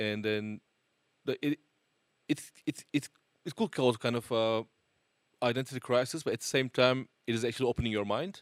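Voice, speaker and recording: A man with a Turkish accent talks at a moderate pace and medium pitch, with ordinary pitch variation. He leaves long, frequent pauses, and the sound is dry and close with no echo. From Turkey. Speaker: multi-instrumentalist musician. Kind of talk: casual interview.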